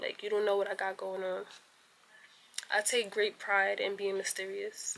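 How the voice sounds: At a moderate pace, a woman speaks with medium pitch and a bright, sharp tone.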